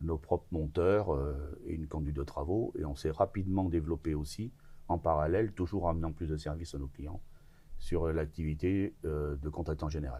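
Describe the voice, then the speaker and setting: A man with a very deep, low voice and a dark, mellow tone, somewhat breathy. He talks at a moderate pace with fairly even intonation. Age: 60s. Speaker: business owner in construction. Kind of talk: interview conversation. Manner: hesitant, many filler sounds.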